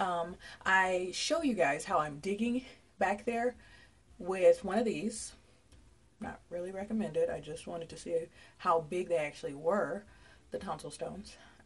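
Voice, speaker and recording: A woman's somewhat breathy voice with big swings in loudness, long and frequent pauses, and ordinary pitch variation. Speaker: vlogger. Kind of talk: casual vlog chat. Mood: playful, relaxed. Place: bathroom. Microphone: phone near.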